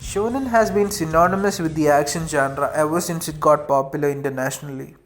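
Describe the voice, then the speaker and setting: With an Indian accent, the speaker talks at a fairly quick pace while music plays in the background. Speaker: anime video essayist. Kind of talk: video essay narration.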